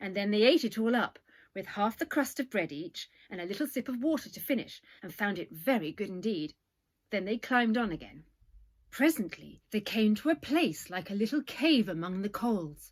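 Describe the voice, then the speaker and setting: A woman with an English accent has a fairly high, somewhat breathy voice that makes very wide pitch swings. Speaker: storyteller. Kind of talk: children's story reading.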